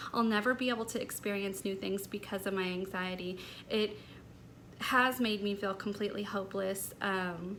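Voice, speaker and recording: There is audible room echo around a woman's medium-pitched voice. She talks at a moderate pace with fairly even intonation. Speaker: lifestyle vlogger. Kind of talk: personal vlog talk. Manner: light and airy.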